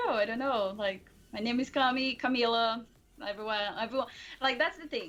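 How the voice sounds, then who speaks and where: Speaking in a Portuguese accent, a woman uses a high pitch. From Brazil. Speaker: streamer. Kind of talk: casual chat. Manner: quiet.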